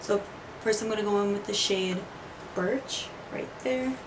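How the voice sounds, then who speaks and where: A woman with a medium pitch speaks at a fairly slow pace, with noticeable background noise and audible echo in the room. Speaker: beauty vlogger. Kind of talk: makeup tutorial. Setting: bedroom. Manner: quiet, hushed.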